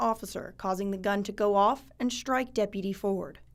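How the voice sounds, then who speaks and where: A woman talks at a fairly quick pace in a plain, everyday voice. The recording is very clean, with a silent background. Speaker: television news reporter. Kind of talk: TV news reporting. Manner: polished anchor-style news voiceover.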